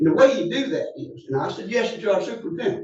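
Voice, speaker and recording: A man with an Alabama accent, in audible room echo. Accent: Southern US (Alabama). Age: 70s. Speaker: public commenter at county meeting. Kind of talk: public comment. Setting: county commission meeting.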